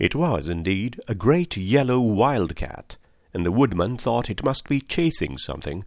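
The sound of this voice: Unforced voice for reading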